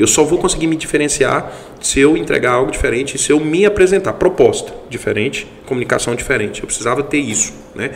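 Over noticeable background noise, a man rushes at a very fast pace with lively intonation and a fairly high pitch. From Goiás, Brazil. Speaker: accounting firm partner. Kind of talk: casual interview chat.

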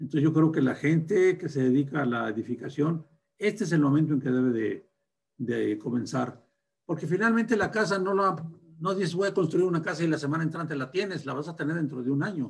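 Talking at a fairly quick pace, a man with a plain, everyday voice keeps his pitch fairly high and his intonation lively. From northern Mexico (Durango, raised in Torreón). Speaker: bank founder and president. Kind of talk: interview.

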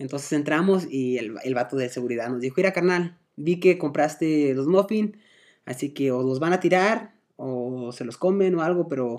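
Lively intonation marks this man's fairly high voice. He keeps a moderate pace against a quiet background. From Guadalajara, Mexico. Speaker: podcast guest. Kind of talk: casual chat. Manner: halting.

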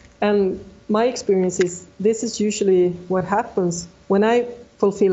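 Noticeable background noise sits behind a woman with a Swedish accent who speaks at a moderate pace with fairly even intonation. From Sweden. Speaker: ultra runner. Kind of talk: interview.

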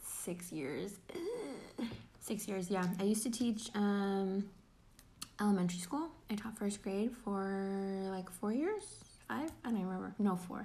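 In audible room echo, a woman speaks fairly slowly with a dark, mellow tone, a somewhat breathy quality and ordinary pitch variation. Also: medium pitch for a woman. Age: 20s. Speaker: podcast co-host, middle school teacher. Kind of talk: casual chat.

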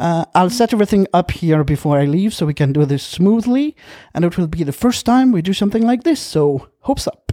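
In a non-native accent, a man with a dark, mellow tone and high pitch talks at a fairly quick pace through very wide pitch swings, the sound dry and close with no echo. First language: not English. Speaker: podcast host. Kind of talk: casual chat.

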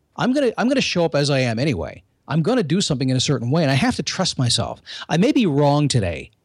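A very fast, fairly high male voice with vocal fry and very wide pitch swings, on a very clean recording with a silent background. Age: 50s. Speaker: motivational podcaster, former radio host. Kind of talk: interview.

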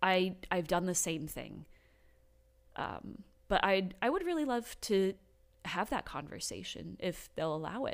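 On a very clean recording with a silent background, a woman with a medium pitch, vocal fry and lively intonation speaks at a fairly slow pace with long, frequent pauses. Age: 20s. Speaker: podcast host's wife sharing her faith story. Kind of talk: casual chat. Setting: home garage studio.

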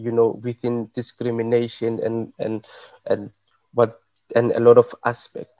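A man with a South African accent at a fairly slow pace, in a dry, close sound with no echo. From South Africa, Johannesburg. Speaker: arts curator and event organizer. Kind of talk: panel discussion. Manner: halting, many repetitions and fillers.

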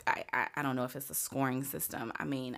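A woman with an American accent speaks at a very deep, low pitch. Her tone is bright and sharp, with vocal fry. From rural southern Virginia, near Lynchburg. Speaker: podcast co-guest. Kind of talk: casual chat.

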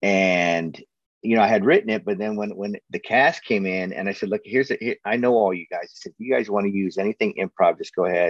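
A man with a plain, everyday voice talks at a fairly quick pace, fairly low in pitch with ordinary pitch variation. The sound is dry and close, with no echo. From US, moved around (Pennsylvania, New Jersey, Chicago, California, Oregon). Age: 50s. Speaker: actor, director and writer. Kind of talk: casual interview chat.

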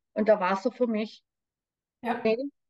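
Intonation holds fairly even throughout. No echo colors the dry, close sound. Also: woman. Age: 60s. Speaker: spiritual coach and medium. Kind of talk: personal testimony interview.

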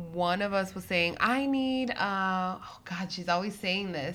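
A woman speaks at a very slow pace in a medium pitch, her bright, sharp tone carrying ordinary pitch variation amid audible room echo. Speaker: podcast co-host. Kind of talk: casual chat. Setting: home recording.

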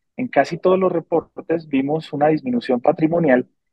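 A man with an ordinary speaking voice talks at a moderate pace. His pitch is fairly high, with ordinary pitch variation. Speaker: stock market podcast co-host. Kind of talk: casual chat.

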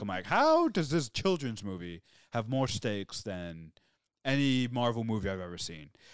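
A man with an American accent talks at a moderate pace, his medium-pitched voice full of lively intonation. The recording is very clean, with a silent background. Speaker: podcast co-host. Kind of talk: casual chat.

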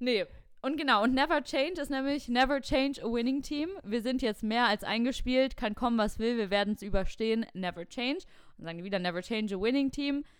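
Lively intonation in a woman's high voice. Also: fairly quick pace. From Germany, near Cologne. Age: 20s. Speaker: podcast co-host. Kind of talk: casual chat.

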